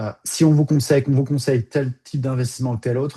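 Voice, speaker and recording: A man's medium-pitched voice, dark and mellow, somewhat breathy, with fairly even intonation, very fast delivery, and a dry, close sound with no echo. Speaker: financial advisor. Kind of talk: webinar presentation. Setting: video call. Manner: hesitant with many fillers.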